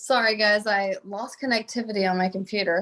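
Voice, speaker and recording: A woman with a Texas accent speaks at a fairly quick pace and a fairly high pitch. The recording is very clean and the background silent. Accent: Southern US (Texas). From US South, Southeast Texas. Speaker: pediatric doctor and researcher. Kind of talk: panel discussion.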